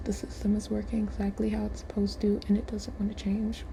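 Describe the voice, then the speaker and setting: The voice is soft-spoken. Noticeable background noise runs underneath. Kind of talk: casual talk to camera, ASMR-style.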